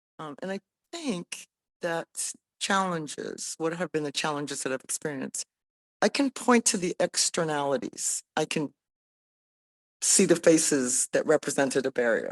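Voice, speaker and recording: A woman with an American accent and a fairly low pitch speaks at a moderate pace with lively intonation and long, frequent pauses, the sound dry and close with no echo and a quiet background. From US (Indian American). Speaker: business leader. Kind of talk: panel discussion.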